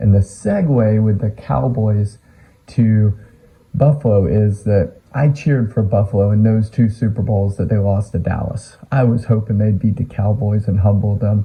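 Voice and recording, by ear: A man's raspy, dark, mellow voice with a slightly husky edge and vocal fry, fairly low-pitched, with an American accent, ordinary pitch variation, a moderate pace and few pauses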